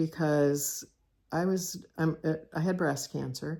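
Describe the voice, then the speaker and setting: This woman speaks with an American accent. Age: 60s. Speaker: cross-stitch video host. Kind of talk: casual personal monologue. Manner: halting, with many fillers.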